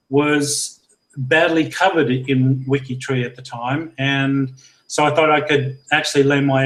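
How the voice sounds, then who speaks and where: With an Australian accent, a man speaks at a fairly slow pace. His voice is fairly high, his intonation monotone and flat. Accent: broadly Australian-sounding. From Scotland, Lanarkshire near Glasgow. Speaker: genealogy project leader. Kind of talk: interview. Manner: halting.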